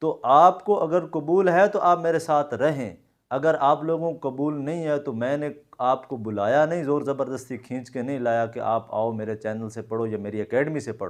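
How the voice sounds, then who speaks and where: A man in a Saraiki accent, fairly high-pitched with ordinary pitch variation and hardly any pauses, over a quiet background. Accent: Punjabi Saraiki. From Pakistan, Punjab (Jhang district). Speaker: Korean language teacher. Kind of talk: video address to viewers. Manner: informal, mixing Punjabi and Saraiki into Urdu.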